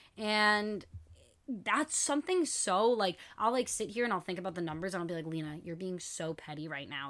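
A woman talks at a fairly quick pace with lively intonation. Her pitch sits in the medium range. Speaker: podcast host. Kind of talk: casual monologue. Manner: voice shaking.

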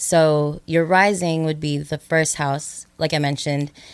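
In a very deep, low voice, a woman speaks very slowly with monotone, flat intonation, in a very clean recording with a silent background. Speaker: astrologer. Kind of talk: casual chat.

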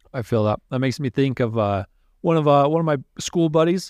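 A plain, everyday voice from a man with an American accent, fairly high in pitch with ordinary pitch variation, at a fairly quick pace, in dry, close sound with no echo over a quiet background. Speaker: podcast guest. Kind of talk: casual chat.

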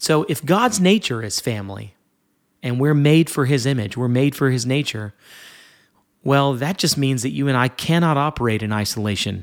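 A man's medium-pitched voice with lively intonation at a moderate pace, on a very clean recording against a silent background. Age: 30s. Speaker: worship leader and podcast host. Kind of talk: solo devotional podcast talk.

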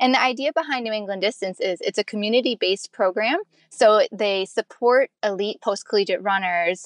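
A woman with a normal speaking voice at medium pitch, moderate pace, a quiet background and a dry, close sound with no echo. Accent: American. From USA. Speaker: elite marathon runner. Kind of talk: interview. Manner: laughs often.

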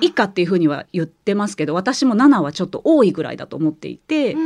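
A woman speaks at a medium pitch with very wide pitch swings. The sound is dry and close, with no echo. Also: quiet background. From Kansai, Japan. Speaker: writer and former truck driver. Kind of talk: interview.

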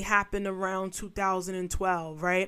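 Animated and bright with a sharp tone, a woman speaks at medium pitch with a New York accent on a very clean recording with a silent background. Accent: New York street. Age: 30s. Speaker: podcast host. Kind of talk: political commentary monologue.

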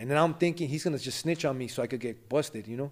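A man with an American accent speaks at a medium pitch with ordinary pitch variation. The recording is very clean, with a silent background. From Los Angeles, West Adams. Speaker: rapper and former gang member. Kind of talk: casual interview, life story.

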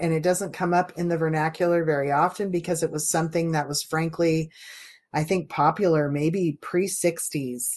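A woman speaks at a moderate pace in a fairly low voice, with ordinary pitch variation. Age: 50s. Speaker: podcast host. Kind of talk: casual chat.

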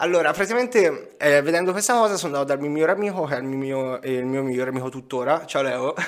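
A man at a very fast pace with hardly any pauses, an animated tone and lively intonation, over noticeable background noise. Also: fairly high pitch for a man. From Tuscany, Grosseto. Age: 20s. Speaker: digital entrepreneur and crypto investor. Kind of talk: casual interview.

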